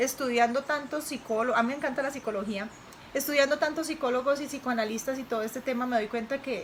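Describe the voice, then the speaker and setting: Talking very fast against noticeable background noise, a woman with a high pitch keeps her intonation fairly even. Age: 30s. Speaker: interviewee, mother of host. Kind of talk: interview.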